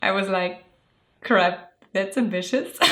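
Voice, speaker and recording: Heard with audible room echo, a woman speaks at a medium pitch with a German accent. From Germany. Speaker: illustrator and video creator. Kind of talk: scripted narration.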